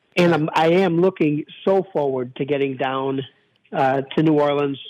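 A man with a Chicago accent talks at a fairly slow pace. His pitch is fairly high and his intonation fairly even. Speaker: radio host. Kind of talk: casual chat. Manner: halting.

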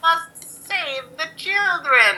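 Someone uses a put-on character voice pitched extremely high. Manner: villainous.

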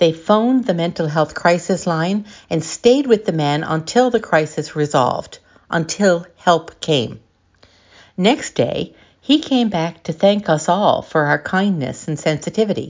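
A woman with a fairly low pitch and lively intonation speaks in a normal speaking voice. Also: fairly slow pace. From Newfoundland, Canada. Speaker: lay missionary giving gospel reflection. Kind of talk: scripted gospel reflection.

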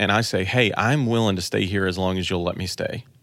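Here is an ordinary speaking voice from a man with an American accent, at a fairly low pitch and a moderate pace. The recording is very clean, with a silent background. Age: 30s. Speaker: church tech director and online trainer. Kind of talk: casual chat.

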